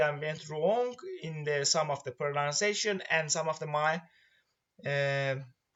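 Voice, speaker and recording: At a moderate pace, the speaker uses ordinary pitch variation and has an Iranian accent. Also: man. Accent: Iranian accent, noticeable. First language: Persian. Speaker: student presenting a course project. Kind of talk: tutorial presentation. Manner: halting, with many fillers.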